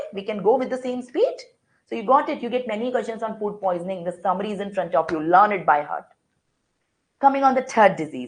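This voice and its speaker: A woman talks at a very fast pace, her intonation lively and her loudness swinging widely. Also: medium pitch for a woman. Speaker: medical lecturer. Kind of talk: online lecture.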